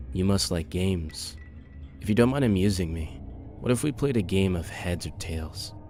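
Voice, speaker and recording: A croaky, gravelly put-on character voice moves at a moderate pace over clear music in the background. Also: man. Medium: read story. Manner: slow, deliberate, calculated.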